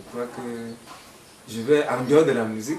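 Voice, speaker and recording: With noticeable background noise and audible room echo, a man speaks with ordinary pitch variation. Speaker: folk musician. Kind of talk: interview.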